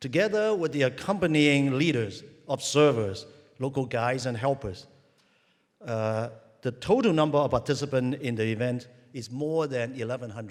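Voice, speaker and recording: In a Cantonese accent, a man speaks at a medium pitch with lively intonation. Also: moderate pace. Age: old. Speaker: university president. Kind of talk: ceremonial speech. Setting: stadium with audience.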